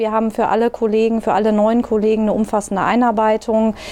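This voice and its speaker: Noticeable noise fills the background as a woman talks in a fairly high voice. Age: 30s. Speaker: nursing manager. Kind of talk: interview.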